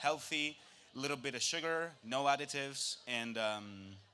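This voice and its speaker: A man with a bright, sharp tone at a medium pitch, a moderate pace and ordinary pitch variation. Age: 20s. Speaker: food producer. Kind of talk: live product presentation. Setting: stage with audience.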